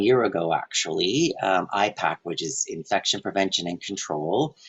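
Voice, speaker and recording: With a plain, everyday voice, a man talks at a moderate pace with lively intonation. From French Canadian background. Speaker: health and safety presenter. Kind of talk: webinar presentation. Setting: online webinar.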